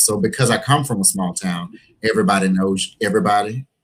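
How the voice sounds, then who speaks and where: Speaking at a fairly quick pace with an Alabama accent, a man keeps a medium pitch. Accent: Southern US (Alabama). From US South, Gadsden, Alabama. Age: 40s. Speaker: preacher and HIV activist. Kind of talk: interview.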